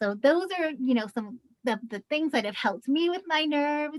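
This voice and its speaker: A woman's fairly quick speech with very wide pitch swings, dry and close with no echo. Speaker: nonprofit director moderating a training webinar. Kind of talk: webinar discussion.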